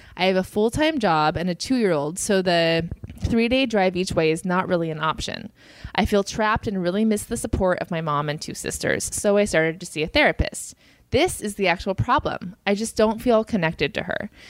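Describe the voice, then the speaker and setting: At a fairly quick pace, a woman talks in an ordinary speaking voice at a medium pitch with lively intonation. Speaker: comedian podcast co-host. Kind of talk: casual chat.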